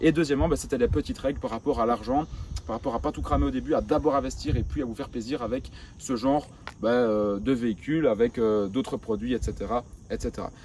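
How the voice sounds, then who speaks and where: At a very fast pace, a man speaks at a medium pitch with vocal fry and ordinary pitch variation. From rural Belgium. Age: 20s. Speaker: entrepreneur youtuber. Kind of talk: vlog monologue. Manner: casual, hesitant fillers.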